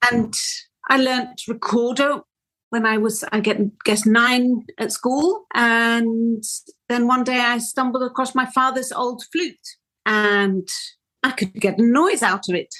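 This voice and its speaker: A high-pitched woman with a Welsh accent and a bright, sharp tone, at a very slow pace with long, frequent pauses and ordinary pitch variation. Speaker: flautist. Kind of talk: interview.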